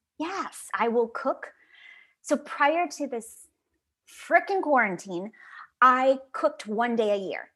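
This woman has an American accent and a bright, sharp tone at a high pitch. She speaks at a very slow pace, with very wide pitch swings and long, frequent pauses. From US Midwest, Chicago suburbs. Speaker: actress. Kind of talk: casual chat. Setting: video call.

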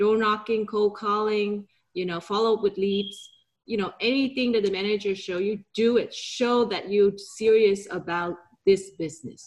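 The speaker has a Vietnamese accent. The intonation stays fairly even. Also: woman, medium pitch for a woman, moderate pace. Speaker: real estate broker and entrepreneur. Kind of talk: interview.

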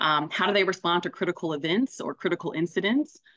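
A woman talks at a very fast pace with an American accent. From US South, Greenville, South Carolina. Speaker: executive coach and business consultant. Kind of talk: interview conversation. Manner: halting, many repeated words and fillers.

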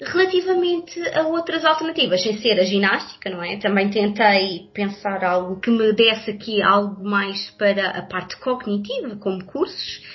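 Speaking in a European Portuguese accent, a woman moves at a moderate pace with lively intonation and hardly any pauses. Noticeable background noise runs under her voice. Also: medium pitch for a woman. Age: 30s. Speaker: social worker, pregnant guest. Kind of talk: casual chat.

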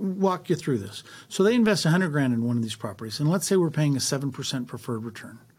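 A man talks at a very fast pace and a fairly high pitch. His voice is somewhat breathy, with very wide pitch swings. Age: 60s. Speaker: real estate investor. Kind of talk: interview.

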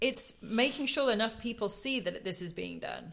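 Delivered at a fairly quick pace, the speech has lively intonation and an English accent. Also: woman. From England. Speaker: podcast co-host. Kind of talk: casual chat about books.

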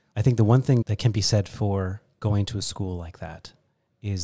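On a very clean recording with a silent background, a man with an American accent speaks at a fairly low pitch. His dark, mellow tone is somewhat breathy. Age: 40s. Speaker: wine expert and importer. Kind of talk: casual interview chat. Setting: studio.

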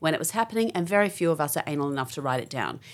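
A woman with an Australian accent speaks with very wide pitch swings on a very clean recording with a silent background. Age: 50s. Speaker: general practitioner. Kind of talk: interview.

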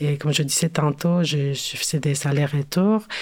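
Her voice carries a Spanish accent. This woman speaks with monotone, flat intonation. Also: very clean recording, silent background. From Mexico City. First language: Spanish (speaking French). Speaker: cultural worker and curator. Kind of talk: interview. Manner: halting, many hesitations.

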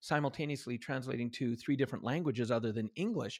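A man's very fast delivery in a Canadian accent with ordinary pitch variation. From Canada. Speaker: author and motivational trainer. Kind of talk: podcast interview. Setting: remote call from home. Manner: animated.

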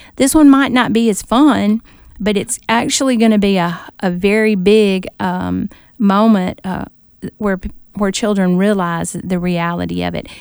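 A woman speaks in a plain, everyday voice with an American accent, at a medium pitch and a fairly slow pace. Her pitch varies in an ordinary way, and the recording is very clean with a silent background. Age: 60s. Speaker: author and former teacher. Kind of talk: interview.

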